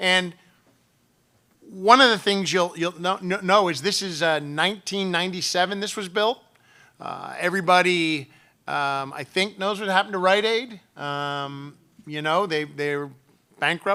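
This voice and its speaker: High-pitched, bright and sharp male speech in an American accent, fairly slow with long, frequent pauses and ordinary pitch variation, on a very clean recording with a silent background. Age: 60s. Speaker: state legislator. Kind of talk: conference speech. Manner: halting, many fillers.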